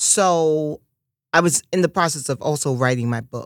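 An animated tone with ordinary pitch variation, in a very clean recording with a silent background and a dry, close sound with no echo. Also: woman. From New York, Harlem. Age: 50s. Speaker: media personality and author. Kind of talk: casual interview.

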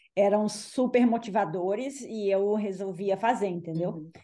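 Speaking at a fairly slow pace, a woman with a fairly high pitch uses fairly even intonation and a dark, mellow tone. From Minas Gerais, Brazil (Belo Horizonte). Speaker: ultramarathon runner. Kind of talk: casual interview.

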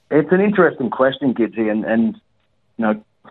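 With an Australian accent, a man speaks fairly quickly at a medium pitch, his intonation lively. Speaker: caller. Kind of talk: casual chat. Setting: phone call. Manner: halting.

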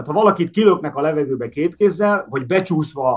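Using a normal speaking voice, a man talks at a fairly quick pace with a fairly high pitch. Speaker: linguist guest. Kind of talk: explanatory discussion on language. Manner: formal, explanatory.

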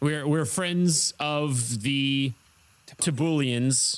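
Using a put-on character voice, a man talks at a very slow pace with a fairly high pitch. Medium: actual play. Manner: solemn, declaiming.

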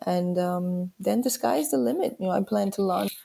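A woman speaks with a New York accent. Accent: New York American. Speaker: wine importer. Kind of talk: interview.

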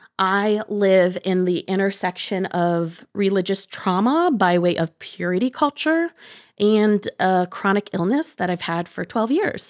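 A woman with an American accent and an ordinary speaking voice talks fairly slowly in a medium pitch with lively intonation, in a dry, close sound with no echo on a very clean recording with a silent background. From US Midwest, Northwest Ohio. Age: 30s. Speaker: podcast co-host. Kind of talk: casual chat.

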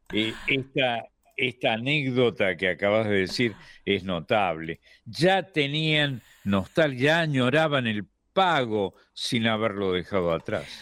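In a very clean recording with a silent background, a man speaks at a very slow pace in a medium pitch. His pitch swings very widely while his loudness stays very even. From Argentina, not the litoral. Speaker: radio host. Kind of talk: radio conversation.

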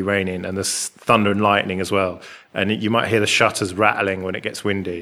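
This man talks at a fairly quick pace. His intonation is monotone and flat. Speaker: podcast host. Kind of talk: casual chat. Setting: rented flat abroad. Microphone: echoey room.

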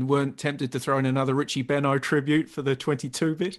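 A fairly high-pitched male voice, fairly quick and flat in a monotone, over a quiet background. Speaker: podcast host and commentator. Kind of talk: interview.

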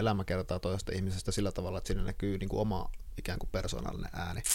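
A man with a normal speaking voice, a fairly quick pace and ordinary pitch variation. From Finland, Kuopio. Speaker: podcast host, writer. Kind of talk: interview. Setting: guest's workroom.

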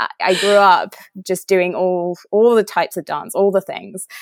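An English accent in a dry, close sound with no echo. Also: woman. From England. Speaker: nutritionist and wellness coach. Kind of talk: interview.

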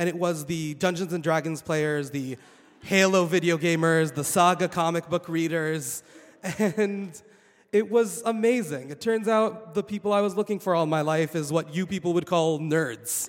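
A man with a high pitch speaks at a moderate pace, showing ordinary pitch variation. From Saudi Arabia. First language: Arabic. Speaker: PhD researcher. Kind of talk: live storytelling. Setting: stage with audience.

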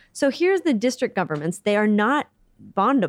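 This speaker has a General American accent. The pace is very fast. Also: woman. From US Midwest. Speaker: charity CEO and civil engineer. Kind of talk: interview. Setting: office.

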